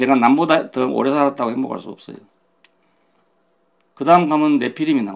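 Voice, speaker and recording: A man's fairly high voice in a Gyeongsang accent, at a fairly quick pace with ordinary pitch variation. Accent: Gyeongsang dialect Korean. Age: 80s+. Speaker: pastor. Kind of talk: sermon.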